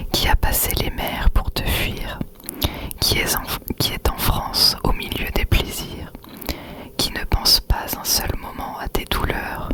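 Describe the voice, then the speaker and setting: A woman whispers at a very slow pace with long, frequent pauses. Background noise is noticeable. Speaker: ASMR creator. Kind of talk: whispered literary reading. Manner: whispered, soft, slow.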